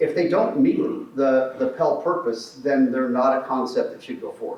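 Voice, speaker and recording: A man talks loudly at a moderate pace, with audible room echo and noticeable background noise. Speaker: transportation project presenter. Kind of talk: public meeting presentation. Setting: in-person meeting room.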